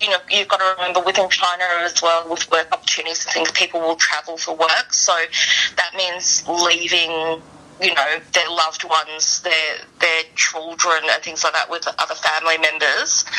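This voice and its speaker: Over noticeable background noise, a woman with fairly low pitch speaks in a monotone, flat way. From Chinese diaspora. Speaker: arts event speaker. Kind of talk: radio interview.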